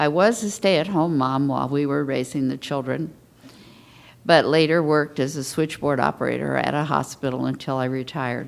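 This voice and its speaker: A woman with an American accent and vocal fry, very deep and low in pitch, at a fairly quick pace. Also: ordinary pitch variation. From US West Coast (Portland, Los Angeles). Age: 70s. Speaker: patient panelist. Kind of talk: testimony. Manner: reading prepared statement.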